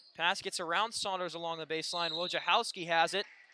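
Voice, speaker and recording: Fairly even in intonation, a man talks with a high pitch. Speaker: sports play-by-play broadcaster. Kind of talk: live sports play-by-play commentary.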